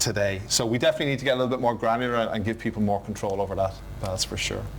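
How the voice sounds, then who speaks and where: Speaking at a very fast pace with an Irish accent, a man keeps a medium pitch and ordinary pitch variation amid audible room echo. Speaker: IT conference presenter. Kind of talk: technical conference talk.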